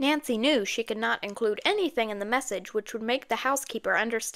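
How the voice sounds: The recording has a natural reading voice with ordinary pitch variation.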